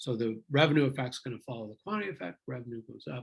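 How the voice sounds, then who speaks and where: A man talks at a fairly quick pace with a medium pitch and ordinary pitch variation. The sound is dry and close with no echo, and his voice is somewhat breathy. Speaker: economics instructor. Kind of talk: lecture.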